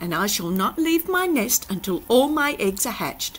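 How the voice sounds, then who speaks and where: A put-on character voice, female-sounding and high-pitched, with very wide pitch swings at a moderate pace, over clear background noise. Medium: read story.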